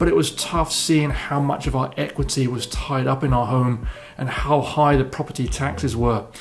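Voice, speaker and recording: Noticeable background noise sits behind a man speaking with an English accent. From southern England. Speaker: real estate broker. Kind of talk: personal story video.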